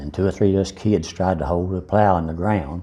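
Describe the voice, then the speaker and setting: With an Appalachian accent, a man speaks at a fairly quick pace in a very deep, low pitch and a dark, mellow tone. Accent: Southern Appalachian American. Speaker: interviewee recalling his life. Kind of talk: life story interview.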